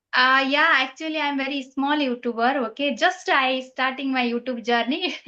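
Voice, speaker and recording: A woman with a high pitch and a bright, sharp tone uses a raised, projected voice at a moderate pace with fairly even intonation. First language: Nepali. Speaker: English learner. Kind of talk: casual chat. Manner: halting.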